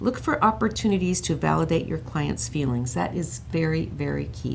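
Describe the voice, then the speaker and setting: Room echo can be heard in the recording. A woman talks at a moderate pace. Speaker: counseling skills instructor. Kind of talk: workshop lecture. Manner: loud.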